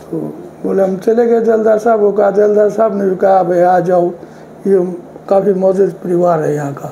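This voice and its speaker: Audible room echo and noticeable background noise surround a man speaking at a high pitch with fairly even intonation. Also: moderate pace. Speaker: elder sharing village memories. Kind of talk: interview storytelling.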